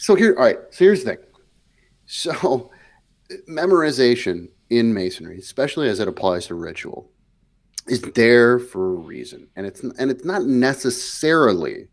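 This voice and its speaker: A man speaks at a medium pitch, his loudness swinging widely and his pitch rising and falling across a very wide range. The recording is very clean, with a silent background. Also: moderate pace. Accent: Wisconsin. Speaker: podcast co-host. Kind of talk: heated discussion. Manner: animated.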